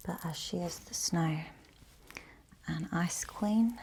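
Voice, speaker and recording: A soft-spoken, somewhat breathy woman at a fairly low pitch, with ordinary pitch variation and a very slow pace. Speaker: ASMR creator. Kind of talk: ASMR makeup tutorial.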